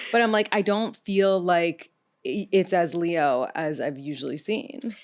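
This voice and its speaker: With an American accent and a normal speaking voice, a woman speaks at a fairly slow pace with medium pitch and lively intonation over a quiet background. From New York City. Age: 30s. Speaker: podcast host, dating expert. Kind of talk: casual interview chat. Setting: studio.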